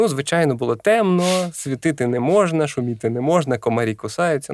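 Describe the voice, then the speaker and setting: Very wide pitch swings from a man with a fairly high pitch, with hardly any pauses. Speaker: science popularizer, biophysicist. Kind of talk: casual chat. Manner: slow.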